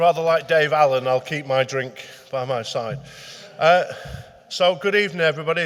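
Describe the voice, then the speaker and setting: Speaking fairly quickly, a man with a Lancashire accent uses a fairly high pitch and fairly even intonation. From northern England, Manchester. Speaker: retired detective and crime historian. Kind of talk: public talk. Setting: meeting hall with live audience. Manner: hesitant, with many fillers.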